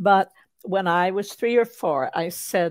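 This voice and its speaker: Heard in a very clean recording with a silent background, the voice moves at a fairly slow pace with ordinary pitch variation. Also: woman. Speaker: author and wordsmith. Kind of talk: podcast interview conversation. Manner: precise, careful enunciation.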